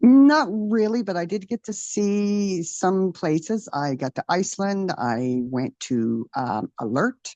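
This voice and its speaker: A woman with a Newfoundland accent speaks at a very slow pace. Her pitch swings very widely, and the sound is dry and close, with no echo. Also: medium pitch for a woman, hardly any pauses. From Newfoundland, Canada. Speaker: retired military aircraft technician. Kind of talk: interview testimony. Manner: hesitant, many fillers.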